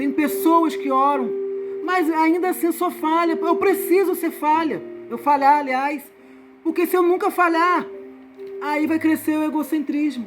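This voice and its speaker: With music playing behind her, a woman talks fairly slowly at an extremely high pitch, her pitch varying in an ordinary way. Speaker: evangelical Bible teacher. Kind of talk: Bible study teaching.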